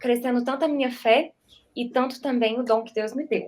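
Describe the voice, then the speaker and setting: A woman at a fairly high pitch, moderate pace, and fairly even intonation. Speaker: church media volunteer. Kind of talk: testimony.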